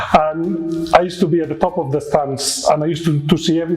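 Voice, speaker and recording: A man speaks with a Spanish accent at a fairly quick pace. Music plays in the background. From Spain, Barcelona. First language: Spanish or Catalan. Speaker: nurse. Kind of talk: interview. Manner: hesitant, many fillers.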